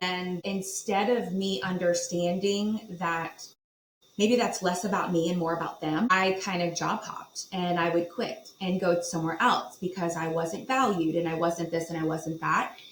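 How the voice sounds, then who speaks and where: She has a normal speaking voice with an American accent, medium pitch, ordinary pitch variation, and a moderate pace. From Virginia Beach, Virginia. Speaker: property management executive. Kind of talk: podcast interview.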